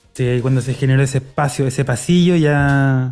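On a very clean recording with a silent background, a man with a Chilean accent speaks at fairly high pitch with ordinary pitch variation. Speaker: football podcast host. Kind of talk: casual chat; reading listener comments. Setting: recording live on a street.

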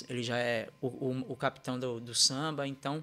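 A bright, sharp tone delivered with monotone, flat intonation comes through on a very clean recording with a silent background. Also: man. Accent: Pernambuco. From Recife, Pernambuco, Brazil. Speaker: dancer and musician. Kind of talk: casual chat. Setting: live video stream.

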